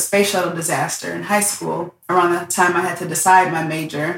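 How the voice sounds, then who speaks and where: Fairly quick and fairly low-pitched, a woman talks in an unremarkable speaking voice with fairly even intonation. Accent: American. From Detroit, Michigan. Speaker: aerospace engineer and STEAM educator. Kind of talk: casual interview. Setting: in person at guest's home.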